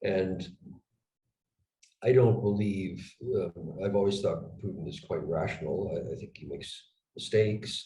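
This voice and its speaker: A man with an American accent speaks at a moderate pace with a fairly low pitch and ordinary pitch variation. His somewhat breathy voice has a dark, mellow tone, with audible room echo. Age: 60s. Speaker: retired intelligence officer and geopolitical analyst. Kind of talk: conversational analysis interview. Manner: hesitant, many fillers and restarts.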